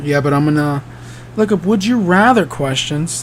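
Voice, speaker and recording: Against noticeable background noise, a man talks with lively intonation. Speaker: podcast host and actor. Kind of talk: casual solo podcast chat. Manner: hesitant, many fillers.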